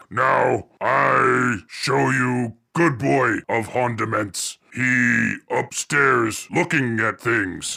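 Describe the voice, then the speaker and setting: Using a put-on character voice, a man speaks at a very slow pace and a medium pitch. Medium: actual play. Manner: broken simple speech, blunt.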